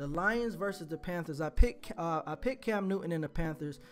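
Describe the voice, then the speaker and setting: A man at a fairly quick pace, ordinary pitch variation, music in the background. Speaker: sports YouTuber making game predictions. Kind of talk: casual solo video commentary. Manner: fast, rushed; stumbling over words.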